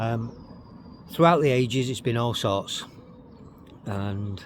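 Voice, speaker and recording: The man's voice sits at a medium pitch. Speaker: travel vlogger. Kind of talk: vlog walking tour narration. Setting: outdoors. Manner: casual, repetitive with fillers.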